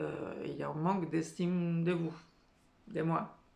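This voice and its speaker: Amid audible room echo, a woman speaks at a very slow pace. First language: not French (speaking French). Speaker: career and life coach. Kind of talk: motivational talk to camera. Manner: hesitant, many filler sounds.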